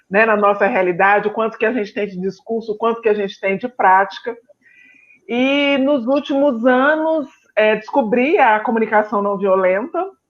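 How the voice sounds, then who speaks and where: With a Minas Gerais accent, a woman speaks at a fairly high pitch. Her pace is moderate and her pitch varies in an ordinary way. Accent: Minas Gerais (mineiro). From Brazil, Belo Horizonte (Minas Gerais). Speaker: psychologist. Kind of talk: live-stream interview.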